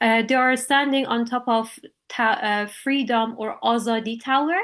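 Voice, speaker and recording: Speaking with an Iranian accent, a woman uses a fairly high pitch, ordinary pitch variation and a moderate pace. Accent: Iranian (Persian) accent in English. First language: Persian. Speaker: artist, illustrator. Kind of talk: artist talk at online panel. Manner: halting, many fillers.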